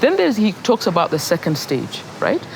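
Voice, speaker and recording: Over noticeable background noise, a woman with a medium pitch talks at a moderate pace, her voice making very wide pitch swings. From Kenya. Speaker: poet, playwright, performer. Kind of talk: master class lecture. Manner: conversational, hesitant.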